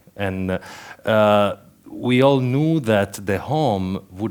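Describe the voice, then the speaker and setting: A man speaks with an Italian accent at a fairly low pitch. The recording is very clean, with a silent background. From Italy, Turin. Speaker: conference speaker. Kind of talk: conference talk. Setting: stage with audience. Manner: halting, with many fillers and repeats.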